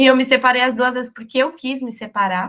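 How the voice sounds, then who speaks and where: Her intonation is fairly even. The voice belongs to a woman. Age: 30s. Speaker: podcast host and interviewer. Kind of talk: casual conversational interview.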